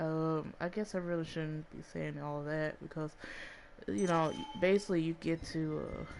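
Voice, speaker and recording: A woman with a Southern US accent speaks at a moderate pace in a very deep, low pitch with fairly even intonation. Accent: sounds country, Southern-like. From Chicago, US Midwest. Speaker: gaming vlogger. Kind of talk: casual game review vlog. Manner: halting, many fillers.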